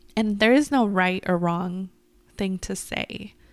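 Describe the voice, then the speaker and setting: A woman with an ordinary speaking voice talks at a fairly slow pace and medium pitch, on a very clean recording with a silent background. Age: 20s. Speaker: podcast co-host. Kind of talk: casual chat.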